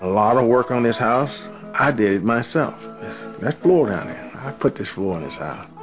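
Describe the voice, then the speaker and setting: Music plays in the background as a man with a medium pitch speaks at a moderate pace, his pitch swinging very widely. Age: 70s. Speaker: retired railroad worker. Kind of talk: interview answer.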